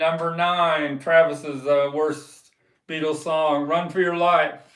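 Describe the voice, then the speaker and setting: Audible room echo surrounds a man speaking at a very slow pace. His pitch is fairly high and his intonation monotone and flat. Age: 70s. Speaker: live stream host, record collector. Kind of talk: casual live stream chat. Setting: live stream. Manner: relaxed, hesitant with fillers.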